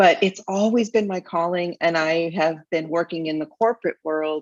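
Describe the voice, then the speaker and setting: With a plain, everyday voice, a woman speaks at a moderate pace, fairly low in pitch with fairly even intonation, in a dry, close sound with no echo. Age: 60s. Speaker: business mentor. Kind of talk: interview.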